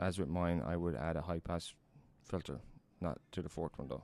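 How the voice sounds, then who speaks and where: The speaker has vocal fry and a fairly even intonation. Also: man. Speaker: podcaster demonstrating audio editing. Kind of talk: tutorial.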